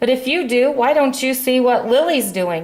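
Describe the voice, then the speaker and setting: A woman performs a put-on character voice at a high pitch. She speaks at a moderate pace. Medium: read story.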